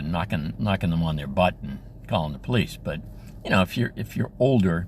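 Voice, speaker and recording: A man talks at a fairly quick pace with vocal fry, his pitch swinging very widely. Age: 70s. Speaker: school crossing guard. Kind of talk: casual talk to camera.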